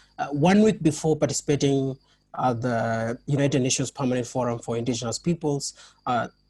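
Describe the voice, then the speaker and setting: A somewhat breathy man with a fairly high pitch is heard on a very clean recording against a silent background. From Kenya. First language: not English. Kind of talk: panel discussion. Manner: halting, many fillers and restarts.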